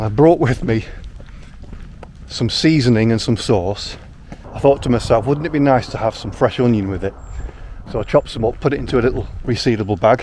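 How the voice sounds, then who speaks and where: With a northern English accent, a man of medium pitch talks at a fairly quick pace, leaving long, frequent pauses amid noticeable background noise. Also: ordinary pitch variation. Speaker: outdoor vlogger. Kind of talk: vlog narration. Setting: outdoors. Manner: fast.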